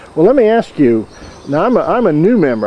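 Very wide pitch swings from a man at a moderate pace, with noticeable background noise. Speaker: interviewer, knot guild member. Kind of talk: interview questions.

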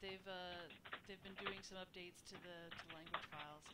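A woman speaks over noticeable background noise. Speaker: game community livestream host. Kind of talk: casual chat. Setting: video call. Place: home room.

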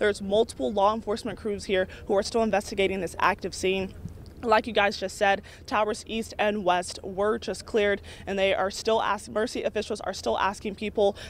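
Her speech comes at a fairly quick pace with fairly even intonation. This woman's voice sounds dry, with no echo. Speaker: field news reporter. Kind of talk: live news report. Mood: urgent, serious. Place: street. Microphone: handheld.

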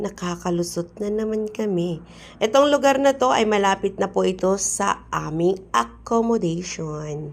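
With lively intonation and an animated tone, a woman talks fairly slowly at a medium pitch. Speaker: vlogger. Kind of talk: casual vlog narration. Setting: outdoors.

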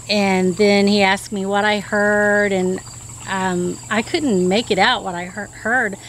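A woman speaks at a very slow pace with fairly even intonation, the sound dry with no echo over light background noise. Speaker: witness. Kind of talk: interview answer. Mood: earnest, recounting eerie event. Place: garden.

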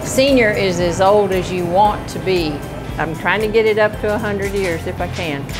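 A woman speaking at a moderate pace with clear music in the background. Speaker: senior center cook. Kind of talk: interview answer. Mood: cheerful, upbeat. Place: kitchen.

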